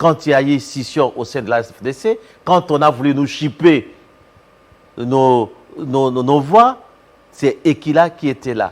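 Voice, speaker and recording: Pausing long and often, a man speaks at a very slow pace and a fairly high pitch. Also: ordinary pitch variation. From DR Congo, Équateur province (Bassankusu). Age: 60s. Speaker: professor and politician. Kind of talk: TV interview.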